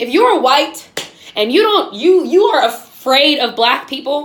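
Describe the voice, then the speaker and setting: A woman's loud, passionate voice, high in pitch with very wide pitch swings, at a fairly slow pace, with audible room echo and noticeable background noise. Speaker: video podcast host. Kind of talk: impassioned monologue. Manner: passionate, emphatic.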